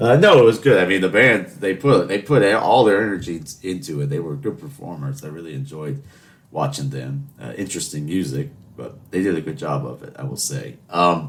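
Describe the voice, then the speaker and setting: With an American accent, a man speaks at a moderate pace in a very deep, low voice with vocal fry, very wide pitch swings and big shifts in loudness. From US South, Charleston. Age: 20s. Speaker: podcast host. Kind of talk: casual monologue. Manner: chatty, rambling with fillers.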